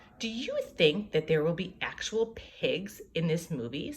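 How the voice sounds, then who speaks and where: Using a medium pitch, a woman performs a put-on character voice. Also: moderate pace. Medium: read story.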